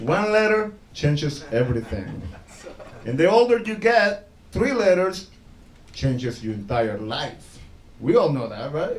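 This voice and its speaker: With a Spanish accent, a man speaks at a fairly slow pace in a room with audible echo. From El Salvador. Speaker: stand-up comedian. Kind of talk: stand-up. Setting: stage with audience.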